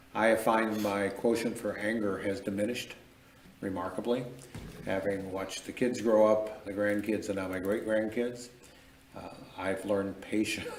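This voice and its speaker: A man with an American accent speaks in a monotone, flat intonation at a fairly low pitch and moderate pace, with long, frequent pauses. Audible room echo and noticeable background noise fill the recording. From Michigan. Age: 60s. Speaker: mayor. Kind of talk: interview conversation.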